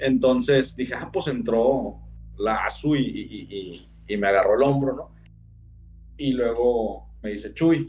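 A man's medium-pitched voice with vocal fry. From Sinaloa, Mexico. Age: 30s. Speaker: storyteller of personal paranormal experiences. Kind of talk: casual storytelling.

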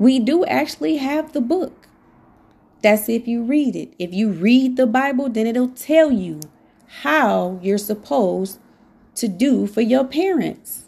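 The tone is dark and mellow, and the pitch swings very widely. The recording is very clean, with a silent background. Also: woman, fairly high pitch for a woman, fairly slow pace. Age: 40s. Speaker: podcast host. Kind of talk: motivational monologue. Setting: home.

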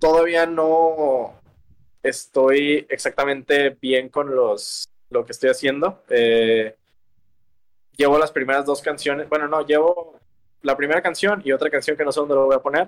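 A man with a Mexican accent, fairly high in pitch, fairly even in intonation, at a fairly slow pace. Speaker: singer-songwriter. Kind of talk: casual interview.

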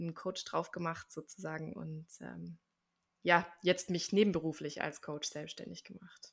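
A bright, sharp tone comes through at a moderate pace in a very clean recording with a silent background. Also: woman. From Swabia, southern Germany (village near Stuttgart). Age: 30s. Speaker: actress and life coach. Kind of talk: interview.

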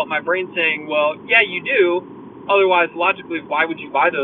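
There is noticeable noise in the background. Over it, a man speaks at a moderate speed. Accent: American. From USA. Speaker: vlogger. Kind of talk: casual monologue. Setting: in a car. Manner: hesitant, filler-heavy.

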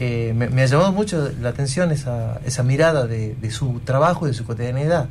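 A man speaks at a medium pitch and a fairly quick pace, with hardly any pauses and ordinary pitch variation. Audible room echo surrounds his voice. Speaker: university official co-host. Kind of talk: radio interview. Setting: radio studio.

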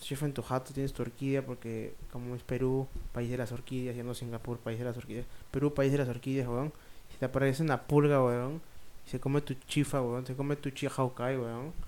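At a fairly quick pace, a man of medium pitch speaks in a monotone, flat intonation. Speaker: podcast co-host. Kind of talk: casual chat.

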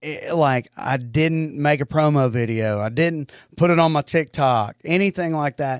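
A man talks at a fairly slow pace with a fairly high pitch and an animated tone, using ordinary pitch variation. The recording is very clean with a silent background and a dry, close sound with no echo. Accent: strong Oklahoma. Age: 40s. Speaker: comedian. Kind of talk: casual chat. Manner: animated and crude.

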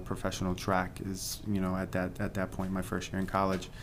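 A man with an American accent speaks at a moderate pace in a very deep, low pitch. His intonation is monotone and flat, and there is audible room echo. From Pennsylvania. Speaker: entrepreneur. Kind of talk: interview.

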